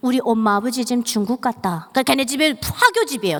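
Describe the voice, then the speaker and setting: A woman talks very fast with lively intonation, in a North Korean accent. Noticeable background noise runs underneath. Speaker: North Korean defector speaker. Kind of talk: testimony. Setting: church.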